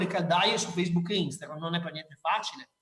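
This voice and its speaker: This is a man speaking. His pitch is high. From Veneto, Ponte di Piave area. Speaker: marketing speaker. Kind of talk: conference talk. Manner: informal, animated.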